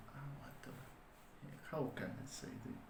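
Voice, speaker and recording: In a space with audible room echo, a man talks with a non-native accent. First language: not English. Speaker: online business vlogger. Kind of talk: solo vlog monologue. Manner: slow; halting, many fillers.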